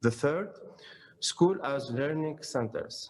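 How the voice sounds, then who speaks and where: A man speaks at a moderate pace with an Arabic accent. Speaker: academic conference speaker. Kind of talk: conference presentation. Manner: halting.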